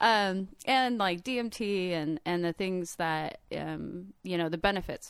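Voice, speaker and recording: A woman with a normal speaking voice talks at a fairly slow pace, medium in pitch, with ordinary pitch variation. The recording is very clean, with a silent background. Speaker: artist and traveler. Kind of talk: casual storytelling.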